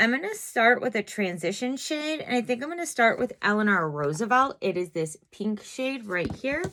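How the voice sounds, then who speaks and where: A woman speaks high in pitch, with a bright, sharp tone and very wide pitch swings. The recording is very clean, the background silent. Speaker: beauty YouTuber. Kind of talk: makeup tutorial. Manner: casual, chatty.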